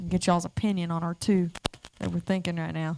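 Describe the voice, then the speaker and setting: A woman speaks with an Alabama accent, her voice sounding dry and close with no echo. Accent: Southern US (Alabama). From North Alabama, Ardmore. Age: 20s. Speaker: singer-songwriter. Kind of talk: casual chat. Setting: stage with audience.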